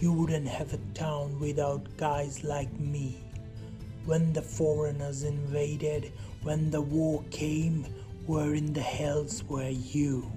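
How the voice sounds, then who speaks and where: A put-on character voice at a low-to-middle pitch goes at a fairly slow pace over loud music in the background. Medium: read story. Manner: drunk, belligerent.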